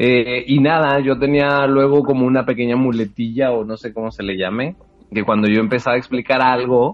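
Music plays in the background as a man speaks at a moderate pace. His pitch sits in the medium range. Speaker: podcast guest. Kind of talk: casual chat.

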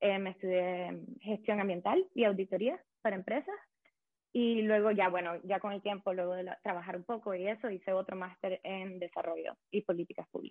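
Here a woman talks in a Nicaraguan accent at a moderate pace. Her medium pitch holds a fairly even intonation. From Nicaragua, Managua. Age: 20s. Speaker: economic policy consultant. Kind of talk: casual interview chat.

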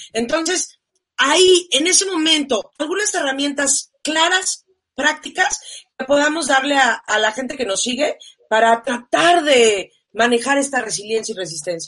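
Loud, bright and sharp, fairly slow, with very wide pitch swings. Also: woman, high pitch for a woman. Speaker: talk show host. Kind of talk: live-streamed talk show.

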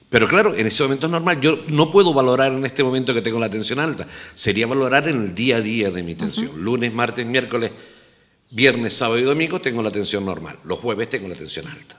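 The delivery is very fast with lively intonation. Noticeable background noise can be heard. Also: man, medium pitch for a man. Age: 50s. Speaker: health insurer manager and doctor. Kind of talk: radio panel discussion.

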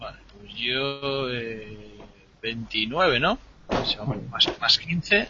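A man talks at a very slow pace, with big swings in loudness. Noticeable background noise is present. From Asturias, Spain. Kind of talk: role-play game session.

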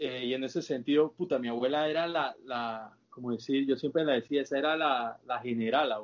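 This man has an ordinary speaking voice at medium pitch with fairly even intonation. He keeps a moderate pace with hardly any pauses. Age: 20s. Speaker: podcast guest. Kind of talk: casual chat.

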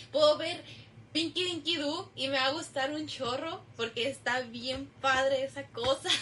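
Over noticeable background noise, a woman speaks in a raised, projected voice, high-pitched and animated, at a fairly slow pace. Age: 20s. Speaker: university student podcast co-host. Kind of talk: casual chat. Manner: animated, laughing often.

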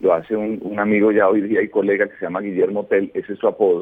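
The delivery comes at a moderate pace in a monotone, flat intonation. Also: man. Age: 50s. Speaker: former radio host. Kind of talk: radio interview. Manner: calm.

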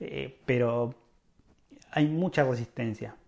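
Over a quiet background, a man speaks in a dark, mellow tone. His intonation stays fairly even. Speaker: podcast host, paintless dent repair craftsman. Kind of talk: solo podcast monologue. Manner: halting.

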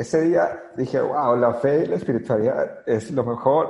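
At a fairly slow pace, a man speaks in a somewhat breathy, fairly high voice with ordinary pitch variation. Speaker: network marketing leader. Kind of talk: interview.

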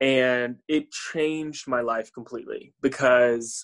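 Fairly even intonation marks an ordinary speaking voice in an American accent. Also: man. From US, Florida (Tampa). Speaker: musician and creative director. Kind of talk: interview conversation.

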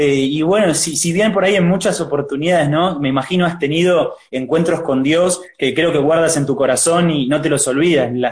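A man speaks at a moderate pace in a Rioplatense accent, his fairly high pitch rising and falling in an ordinary way. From Argentina. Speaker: church youth interviewer. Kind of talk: live interview. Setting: livestream video call.

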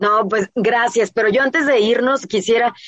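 A woman has a normal speaking voice pitched fairly high. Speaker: radio show host. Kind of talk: casual interview chat. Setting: radio broadcast with remote guests.

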